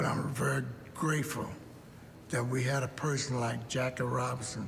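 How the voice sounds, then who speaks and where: Amid noticeable background noise and audible room echo, a man of medium pitch speaks at a fairly slow pace with a monotone, flat intonation. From Kentucky, Lexington. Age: 80s+. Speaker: former baseball player. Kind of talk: documentary interview.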